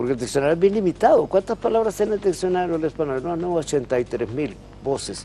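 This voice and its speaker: Speaking very fast with lively intonation, a man with a Honduran accent uses a high pitch. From Honduras. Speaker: professor of language and literature. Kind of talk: interview.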